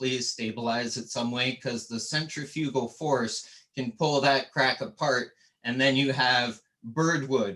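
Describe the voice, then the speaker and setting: A man with a Canadian accent speaks at a fairly slow pace in a bright, sharp tone with fairly even intonation. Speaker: woodturner. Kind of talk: tutorial. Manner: casual.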